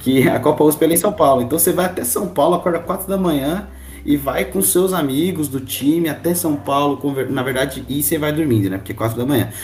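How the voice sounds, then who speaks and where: Talking very fast with lively intonation, a man with a fairly high-pitched voice is heard over noticeable background noise. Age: 20s. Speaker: university student, sports association marketing captain. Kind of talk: casual podcast interview.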